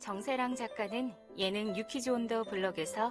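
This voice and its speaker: Over music in the background, a woman with a fairly high pitch speaks at a very slow pace. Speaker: voice actor. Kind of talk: audiobook reading.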